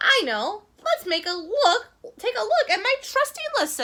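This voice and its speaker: A woman speaks in a put-on, squeaky character voice at an extremely high pitch, with very wide pitch swings at a moderate pace. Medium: read story.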